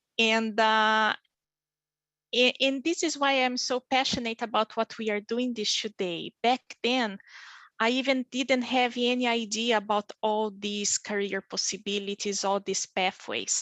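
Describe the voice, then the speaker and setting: A woman with a Brazilian Portuguese accent speaks at a fairly slow pace, with fairly high pitch and fairly even intonation. Her bright, sharp tone sounds dry and close with no echo, against a quiet background. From Brazil, small town in the south. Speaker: physician and pharmaceutical industry leader. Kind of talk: career panel interview. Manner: halting, with many fillers.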